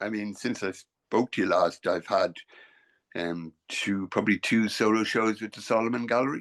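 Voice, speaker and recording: With an Irish accent, a man speaks at a moderate pace and medium pitch with ordinary pitch variation and big swings in loudness, the sound dry and close with no echo over a quiet background. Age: 60s. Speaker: painter. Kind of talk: casual chat. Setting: video call. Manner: halting.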